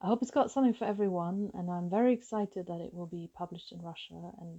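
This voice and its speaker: This woman's voice has a dark, mellow tone at a medium pitch. She speaks with a German accent. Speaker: novelist. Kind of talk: author talking about her book.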